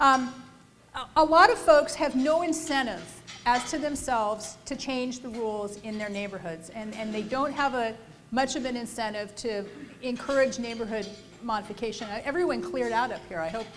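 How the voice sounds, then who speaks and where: Over music in the background and audible room echo, a woman with a fairly high pitch speaks at a moderate pace, her intonation lively and her loudness swinging widely. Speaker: housing policy panelist. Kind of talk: panel presentation.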